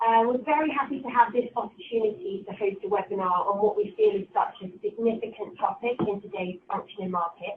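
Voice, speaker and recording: An unremarkable speaking voice moves at a fairly quick pace with lively intonation. Loudness rises and falls in big swings. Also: woman. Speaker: finance professional. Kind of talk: webinar presentation. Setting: online webinar. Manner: formal.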